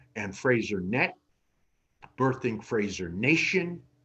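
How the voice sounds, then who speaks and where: A man with an American accent, speaking at a very slow pace. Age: 70s. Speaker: business executive. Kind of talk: interview.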